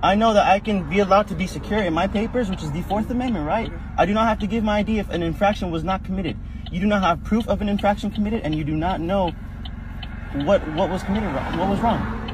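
Very fast speech from a man, fairly even intonation, dry sound with no echo, noticeable background noise. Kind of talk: argumentative exchange. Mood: defiant, argumentative. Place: car. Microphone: phone near.

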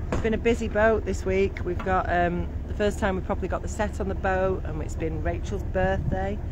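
Speech at a fairly quick pace comes through a dry sound with no echo and noticeable background noise. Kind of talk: casual vlog chat. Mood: cheerful, relaxed. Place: boat. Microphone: phone near.

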